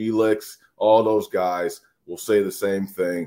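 A man with an American accent and a dark, mellow tone speaks fairly slowly at a fairly low pitch on a very clean recording with a silent background. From Minnesota. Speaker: former college football player. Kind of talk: casual chat.

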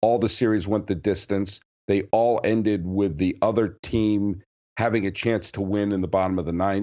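Monotone and flat, a man with a fairly low pitch speaks at a moderate pace with very even loudness. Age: 40s. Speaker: podcast host. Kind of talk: casual chat.

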